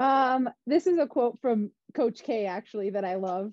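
A woman speaks with an American accent. The sound is dry with no echo, over a quiet background. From US Midwest, Wisconsin. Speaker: physical therapist for a pro football team; guest. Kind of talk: interview conversation. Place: home room. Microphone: video call.

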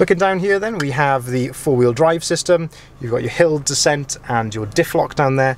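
A man speaks at medium pitch and a moderate pace, with ordinary pitch variation and faint background noise.

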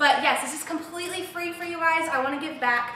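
In a raised, projected voice, a woman speaks with ordinary pitch variation amid light background noise and audible room echo. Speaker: fitness instructor. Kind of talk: workout livestream chat. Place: studio.

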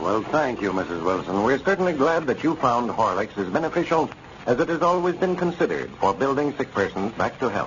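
A man's warm-toned voice at a fairly quick pace, very wide pitch swings, and light background noise. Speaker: radio announcer. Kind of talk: old-time radio sponsor announcement and narration. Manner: formal, polished, warm, salesmanlike. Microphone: old recording.

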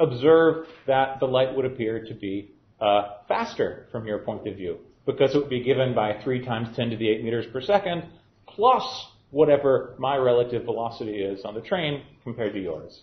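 Audible room echo surrounds a man's voice. He speaks at a moderate pace with ordinary pitch variation. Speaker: university physics lecturer. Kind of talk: lecture. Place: classroom.

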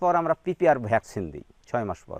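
Recorded with a dry, close sound and no echo, a man with a fairly high pitch uses vocal fry and very wide pitch swings. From Bangladesh, Meherpur district. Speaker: sheep farmer. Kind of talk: interview. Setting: at his farm.

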